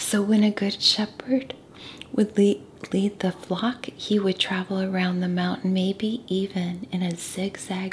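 Soft-spoken and calm in tone, a woman talks at a fairly slow pace with monotone, flat intonation over light background noise. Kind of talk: soft-spoken Bible study reading and teaching. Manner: soft-spoken, calm, relaxing. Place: home room. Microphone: studio mic.

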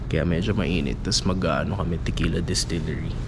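Noticeable background noise fills the recording. A man talks through it at a moderate pace. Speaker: travel vlogger. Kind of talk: casual vlog chat. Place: hall. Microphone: phone near.

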